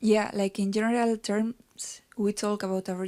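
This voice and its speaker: A woman with a Basque accent speaks in a dark, mellow tone with monotone, flat intonation. The recording is very clean, with a silent background. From Basque Country. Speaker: band musician. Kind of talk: interview.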